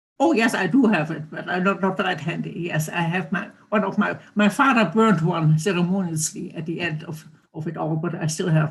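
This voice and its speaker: Speaking at a moderate pace with hardly any pauses, a woman uses a fairly low, somewhat breathy voice with ordinary pitch variation and big swings in loudness. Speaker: Holocaust survivor and author. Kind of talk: testimony. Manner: halting.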